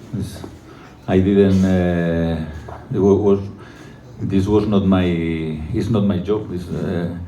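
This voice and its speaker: A man with a non-native accent speaks at a very slow pace in a very deep, low voice, his fairly even intonation broken by long, frequent pauses, with audible room echo and noticeable background noise. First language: not English. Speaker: football coach. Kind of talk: press conference. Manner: halting.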